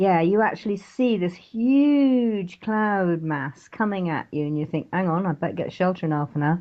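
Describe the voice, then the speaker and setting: Lively intonation runs through speech in a British accent at a moderate pace with hardly any pauses. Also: woman, medium pitch for a woman. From England, West Country (Devon, Exmoor). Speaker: author. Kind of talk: interview.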